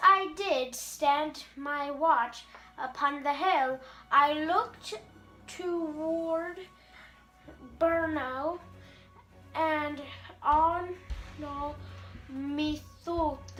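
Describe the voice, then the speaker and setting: A woman uses a put-on character voice at a very slow pace, with long, frequent pauses. Clear music plays in the background. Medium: stage play.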